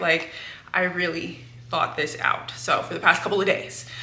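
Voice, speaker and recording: Someone with an American accent speaks amid noticeable background noise, with audible room echo. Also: woman. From California. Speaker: book YouTuber. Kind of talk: casual vlog talk. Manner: casual with fillers.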